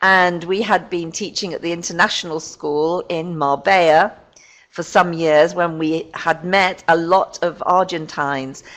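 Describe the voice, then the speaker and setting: A woman with a Scouse accent speaks at a fairly slow pace, her fairly low pitch held in fairly even intonation. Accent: Scouse (Liverpool) English. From northern England, Liverpool. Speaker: teacher trainer. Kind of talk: webinar presentation. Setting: online webinar.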